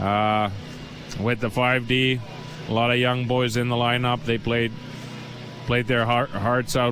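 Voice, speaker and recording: Over music in the background, a man with a Finnish accent talks at a medium pitch in a monotone, flat intonation. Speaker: hockey head coach. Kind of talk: post-game interview. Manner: halting, searching for words.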